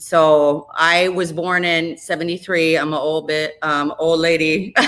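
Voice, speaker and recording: With an Upper Midwest US accent, a woman talks at a fairly slow pace in a fairly low, monotone voice with flat intonation, and there is noticeable background noise. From Minnesota, Minneapolis area. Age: 40s. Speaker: radio host. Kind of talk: casual chat.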